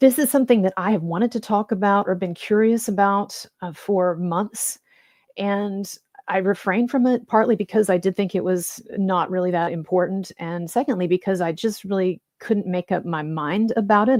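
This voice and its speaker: A soft-spoken woman at medium pitch, moderate in pace with ordinary pitch variation, in a very clean recording with a silent background and a dry, close sound with no echo. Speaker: YouTube commentator. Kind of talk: informal live stream monologue. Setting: home live stream late at night. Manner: halting, many fillers.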